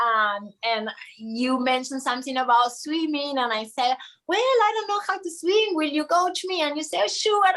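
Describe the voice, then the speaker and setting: A woman speaks with a Spanish accent at a high pitch. Her voice makes very wide pitch swings. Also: moderate pace. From Argentina. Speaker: triathlete. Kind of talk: casual chat.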